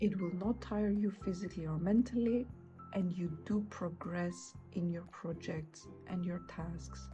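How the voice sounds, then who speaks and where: With music in the background, a woman talks at a moderate pace, her fairly low pitch showing ordinary variation. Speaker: journaling content creator. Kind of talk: casual talk to camera.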